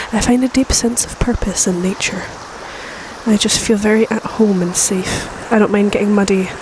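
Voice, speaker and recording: A soft-spoken woman with monotone, flat intonation amid noticeable background noise. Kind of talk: casual ASMR talk to camera, rambling. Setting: outdoors by a river. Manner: soft-spoken, rambling.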